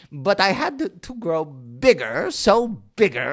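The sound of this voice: The clip is in an unforced reading voice.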